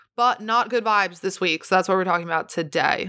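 An ordinary speaking voice carries lively intonation. The recording is very clean, with a silent background. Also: woman. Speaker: podcast host; singer. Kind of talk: casual solo podcast chat. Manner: excitable, chatty.

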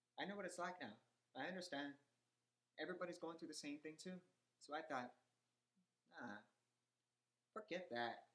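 The speech moves at a fairly quick pace with ordinary pitch variation. Long, frequent pauses break it up. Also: man, high pitch for a man. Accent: American. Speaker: actor. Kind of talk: interview.

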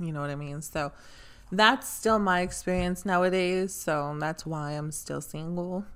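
A woman with an ordinary speaking voice, fairly low in pitch, at a fairly slow pace with ordinary pitch variation. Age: 20s. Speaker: podcast guest, friend of host. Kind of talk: casual chat.

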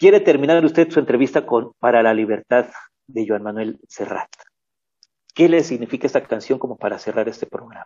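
Fairly quick and with lively intonation, the speaker uses an ordinary speaking voice. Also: man, medium pitch for a man. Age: 60s. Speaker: university radio host. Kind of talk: interview. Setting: online radio program.

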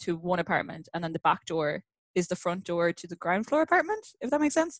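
In a dry, close recording with no echo, a woman with an Irish accent talks at a fairly low pitch with ordinary pitch variation. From Ireland, countryside. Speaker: podcast guest. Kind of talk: casual chat.

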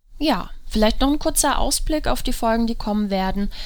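A woman speaks at a moderate pace. Audible room echo can be heard. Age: 20s. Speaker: psychologist and podcast host. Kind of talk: solo podcast monologue.

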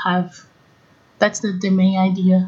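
A woman with a Portuguese accent and a somewhat breathy voice. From Brazil. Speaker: combustion engineering consultant. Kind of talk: interview. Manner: halting.

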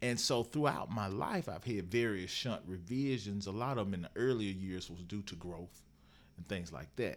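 A man with an ordinary speaking voice, fairly low in pitch with lively intonation, at a moderate pace, on a very clean recording with a silent background. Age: 40s. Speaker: motivational speaker and author. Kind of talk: interview, personal testimony.

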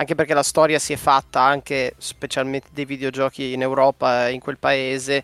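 A man's fairly high voice, dry and close with no echo, in a very clean recording against a silent background. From Bologna, Italy. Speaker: podcast co-host. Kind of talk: casual chat.

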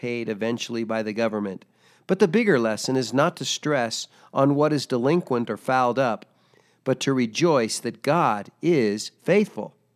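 An ordinary speaking voice with lively intonation at a moderate pace, in a very clean recording with a silent background. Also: man. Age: 60s. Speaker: devotional speaker, military veteran. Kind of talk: scripted devotional reading.

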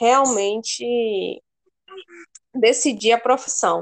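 Her delivery is very slow. This woman's fairly high voice shows ordinary pitch variation. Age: 20s. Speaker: veterinary student. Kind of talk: casual interview.

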